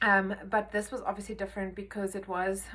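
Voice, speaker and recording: A woman talks at a fairly quick pace. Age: 30s. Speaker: vlogger sharing a medical experience. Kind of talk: casual vlog monologue. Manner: hesitant, with many fillers.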